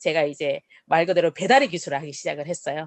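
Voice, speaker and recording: Heard against a quiet background in a dry, close sound with no echo, a woman speaks in an animated tone with very wide pitch swings. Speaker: network marketing speaker. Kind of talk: business presentation.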